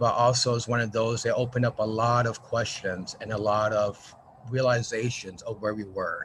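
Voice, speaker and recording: With an American accent, a man speaks at a moderate pace in a medium pitch and fairly even intonation. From New Mexico, US. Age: middle-aged. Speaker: arts organization marketing director. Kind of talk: video call check-in introduction.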